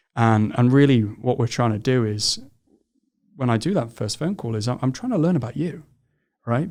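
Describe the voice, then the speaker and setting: Medium pitch and a fairly quick pace from a man with a British accent, on a very clean recording with a silent background. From England. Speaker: founder of a recruiting firm for construction. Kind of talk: podcast interview.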